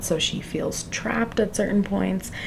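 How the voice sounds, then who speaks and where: A woman at a medium pitch amid noticeable background noise. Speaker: book vlogger. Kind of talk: casual vlog talk. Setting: home library at night. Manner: quiet.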